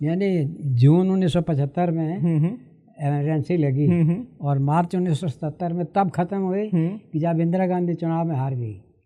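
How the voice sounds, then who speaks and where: Against a quiet background, a man speaks at a high pitch with a dark, mellow tone and ordinary pitch variation. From Rawalpindi, Punjab. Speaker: veteran journalist and newspaper editor. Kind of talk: podcast interview answer.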